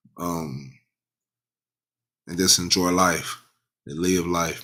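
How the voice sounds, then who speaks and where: Speaking with an American accent, a man's voice sits at a very deep, low pitch. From US South, South Dallas, Texas. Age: 30s. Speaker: podcast host. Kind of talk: casual monologue. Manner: animated; repetitive, halting restarts.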